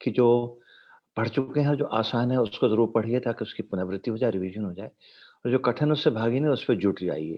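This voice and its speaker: This man has a plain, everyday voice, speaking at a moderate pace with ordinary pitch variation. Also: medium pitch for a man. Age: 60s. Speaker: doctor and motivational speaker. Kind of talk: motivational talk with Q&A. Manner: fluent Hindi-English code-switching.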